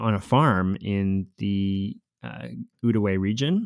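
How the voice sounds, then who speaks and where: Speaking with a Canadian accent, a man talks at a very slow pace. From Costa Rica born, raised in Canada from age eight. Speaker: podcast co-host, university researcher. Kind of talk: podcast introduction, conversational. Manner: fluent, conversational, some fillers.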